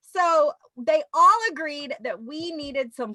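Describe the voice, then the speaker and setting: A woman with a Louisiana accent speaks in a raised, projected voice with very wide pitch swings. Her fairly slow delivery has a dry, close sound with no echo. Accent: Southern US (Louisiana). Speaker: teacher show host. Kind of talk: casual chat.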